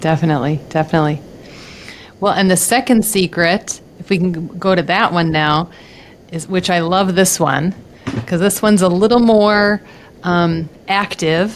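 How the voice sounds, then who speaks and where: A woman's fairly low voice at a moderate pace, with noticeable background noise. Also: ordinary pitch variation. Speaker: nutritionist, podcast host. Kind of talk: podcast interview question.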